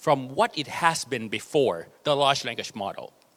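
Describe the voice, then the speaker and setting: A man with a Thai accent speaks at a fairly slow pace, his fairly high voice bright and sharp in tone, with lively intonation. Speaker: AI researcher. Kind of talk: conference talk.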